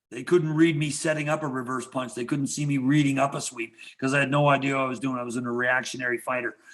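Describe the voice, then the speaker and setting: Very fast speech from a medium-pitched man amid noticeable background noise. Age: 70s. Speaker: karate teacher. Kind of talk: interview. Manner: animated.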